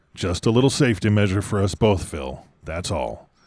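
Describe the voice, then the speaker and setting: In a very clean recording with a silent background, a man uses a put-on character voice, fairly low-pitched with lively intonation, at a moderate pace. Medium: read story. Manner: terse, controlled.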